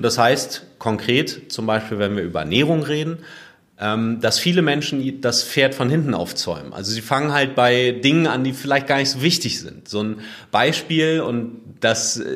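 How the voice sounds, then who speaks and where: An unremarkable speaking voice at a moderate pace. The pitch varies in an ordinary way. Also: man. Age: 30s. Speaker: fitness blogger and podcaster. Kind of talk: interview.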